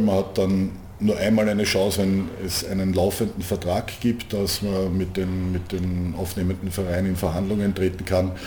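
A man's very deep, low voice with a dark, mellow tone, somewhat breathy and monotone, at a moderate pace, with audible room echo. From Austria, Vienna. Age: 50s. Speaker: handball club manager. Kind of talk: interview. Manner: repeats words, hesitant fillers.

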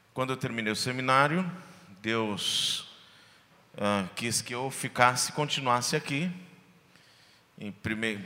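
Speaking at a fairly slow pace, a man uses lively intonation and a bright, sharp tone, with audible room echo around him. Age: 40s. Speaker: pastor. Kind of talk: testimony. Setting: church stage with audience.

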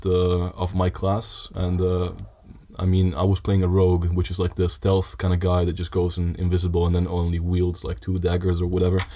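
With a very deep, low voice, a man talks at a medium speed. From Italy (Sardinia), Dutch-Italian family. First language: Italian (also Dutch). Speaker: student. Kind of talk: casual chat.

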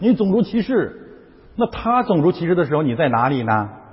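With an animated tone and very wide pitch swings, a man speaks in a somewhat breathy voice at a moderate pace. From China. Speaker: pastor. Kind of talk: sermon.

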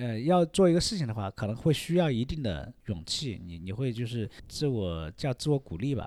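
In a very clean recording with a silent background, the voice has a dark, mellow tone, very wide pitch swings, a moderate pace and hardly any pauses. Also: man, medium pitch for a man. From Hunan, China. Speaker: painter / contemporary artist. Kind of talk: casual interview.

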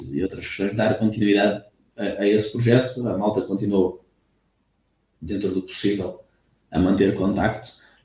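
With a dark, mellow tone and a somewhat breathy quality, a man talks at a moderate pace in a fairly low pitch. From Algarve, Portugal (Lagos). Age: 20s. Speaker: athletics coach. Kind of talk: casual interview.

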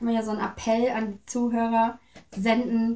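Delivered in a monotone with flat intonation, the speech keeps a moderate pace. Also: woman. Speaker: interview guest, choir singer. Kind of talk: casual interview. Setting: home visit.

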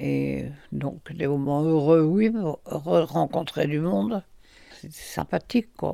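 A woman talks at a very slow pace, her loudness swinging widely. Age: 90s. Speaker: retired home sales organiser. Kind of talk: interview, life memories. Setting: retirement home. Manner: halting.

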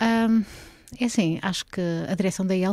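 In a dry, close sound with no echo, a woman with a medium pitch and a dark, mellow tone speaks with ordinary pitch variation. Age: 40s. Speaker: former party politician and lawyer. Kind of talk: casual interview.

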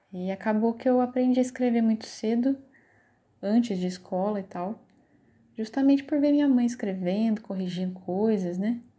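On a very clean recording with a silent background, a woman speaks at a moderate pace with fairly high pitch, ordinary pitch variation, and a dark, mellow, somewhat breathy tone. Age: 30s. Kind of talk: personal narrative. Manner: halting, many fillers.

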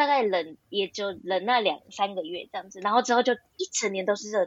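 The delivery keeps a moderate pace. Its intonation is lively. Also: woman. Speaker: graduate student and part-time translator. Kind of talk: casual interview chat.

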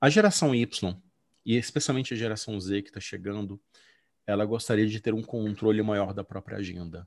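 A man at a fairly low pitch and moderate pace, ordinary pitch variation, an ordinary speaking voice, quiet background. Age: 40s. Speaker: educational consultant and former English teacher. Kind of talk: interview.

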